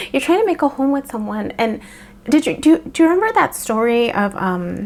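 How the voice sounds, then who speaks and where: Over noticeable background noise, a woman speaks at a fairly quick pace in a high pitch with very wide pitch swings. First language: Spanish. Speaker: tarot reader. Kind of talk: tarot reading. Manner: halting, many fillers.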